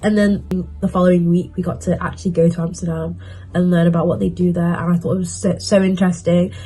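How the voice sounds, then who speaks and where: With music in the background, a woman talks at a very fast pace in a British accent. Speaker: university student vlogger. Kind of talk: casual vlog advice while doing makeup.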